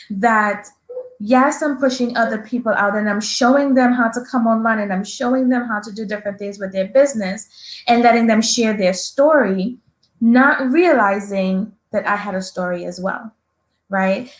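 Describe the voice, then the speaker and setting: In a strong Trinidadian accent, a woman talks at a moderate pace, somewhat breathy and fairly high-pitched. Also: ordinary pitch variation. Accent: thick Trinidadian. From Trinidad and Tobago. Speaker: entrepreneur and veteran. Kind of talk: interview.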